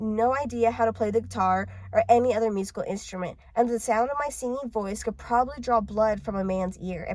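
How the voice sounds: The voice is a natural reading voice with ordinary pitch variation.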